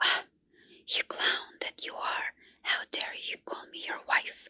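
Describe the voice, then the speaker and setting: A woman whispers at a fairly slow pace, the sound dry and close with no echo. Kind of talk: ASMR candlelight folk-tale reading. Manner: soft, whispered, calming.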